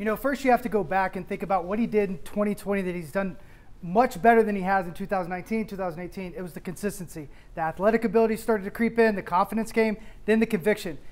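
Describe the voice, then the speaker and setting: Talking at a very fast pace, a man speaks in a high voice. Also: ordinary pitch variation. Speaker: baseball analyst. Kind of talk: commentary. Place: studio. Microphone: lapel.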